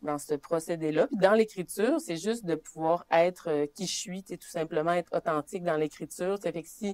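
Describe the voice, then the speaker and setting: A woman with a Saguenay–Lac-Saint-Jean accent, fairly low in pitch, at a fairly quick pace with ordinary pitch variation and a dry, close sound with no echo. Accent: Quebec French, Saguenay–Lac-Saint-Jean. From Quebec, Saguenay–Lac-Saint-Jean, Innu community (Mashteuiatsh). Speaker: poet. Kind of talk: interview on stage. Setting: public library workshop with audience. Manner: casual, many fillers.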